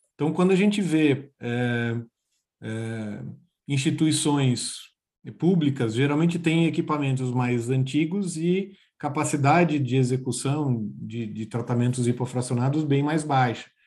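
Against a quiet background, a man speaks at a fairly slow pace and fairly high pitch with ordinary pitch variation. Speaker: oncologist, podcast host. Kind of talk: professional panel discussion. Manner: halting, many fillers and repetitions.

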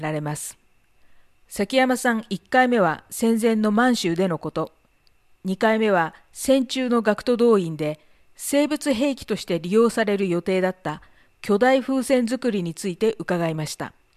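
A woman's ordinary speaking voice, medium in pitch, at a fairly slow pace. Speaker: podcast moderator. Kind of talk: interview with scripted narration. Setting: video call.

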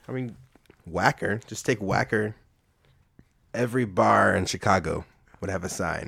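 A man speaks at a moderate pace in a fairly low pitch, his tone bright and sharp with vocal fry. Long, frequent pauses break up his speech. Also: ordinary pitch variation. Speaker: guest. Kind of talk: casual chat.

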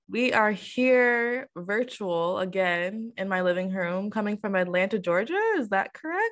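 A woman with an ordinary speaking voice speaks at a medium pitch and a fairly slow pace, with ordinary pitch variation and hardly any pauses. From Michigan. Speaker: podcast host. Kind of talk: casual chat. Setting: video call.

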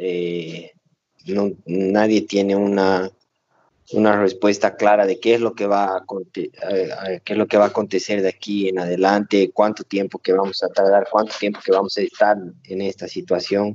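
Speaking at a fairly slow pace, a man with a fairly low voice keeps a monotone, flat intonation. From Bolivia, Cochabamba. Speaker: cardiovascular surgeon. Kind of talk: casual interview.

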